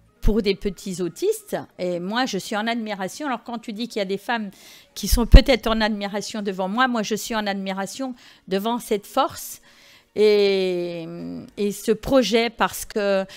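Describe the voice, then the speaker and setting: Ordinary pitch variation and a fairly slow pace from a woman with a medium-pitched voice. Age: 60s. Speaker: rally participant. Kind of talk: interview. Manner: halting.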